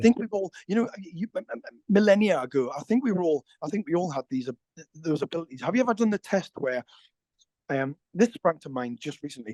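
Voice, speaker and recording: A fairly quick pace in a Somerset accent. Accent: Somerset, West Country. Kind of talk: casual conversation. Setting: outdoors.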